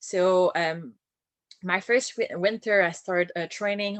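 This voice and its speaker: Speaking with a strong French accent, a woman talks at a moderate pace in a fairly low pitch with fairly even intonation. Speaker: boat captain and naturalist. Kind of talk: online talk.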